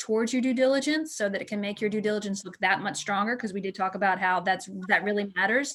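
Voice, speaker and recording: Noticeable background noise sits behind a woman whose fairly high voice shows ordinary pitch variation. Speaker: real estate team leader. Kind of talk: online seminar presentation. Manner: fast.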